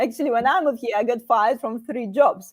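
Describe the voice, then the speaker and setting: Very fast, lively speech in a strong Russian accent, with a dry, close sound and no echo. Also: woman. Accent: heavy Russian. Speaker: career channel host. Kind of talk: live panel discussion.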